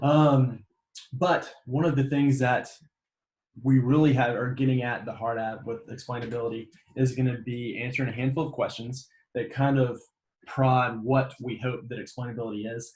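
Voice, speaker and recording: This man talks at a medium pitch in a Southern US accent, with a somewhat breathy voice and monotone, flat intonation. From US South, Mississippi. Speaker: graduate student presenter. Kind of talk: lecture. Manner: fast.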